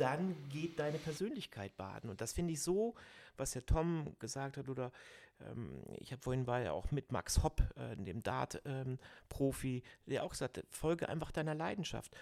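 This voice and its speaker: The man has a fairly high pitch and lively intonation. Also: moderate pace. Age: 50s. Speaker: podcast host and personal growth coach. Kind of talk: casual chat. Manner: animated.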